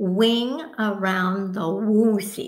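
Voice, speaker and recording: A woman speaks in a put-on character voice. It is squeaky, at a medium pitch. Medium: read story.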